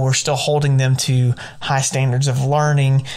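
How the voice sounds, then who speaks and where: Amid noticeable background noise and audible room echo, a man with a Southern US accent speaks in a flat monotone at a medium pitch and moderate pace. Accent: Southern pronunciation. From US South. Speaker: podcast host and high school English teacher. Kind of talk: podcast monologue. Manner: repeats words, some hesitation.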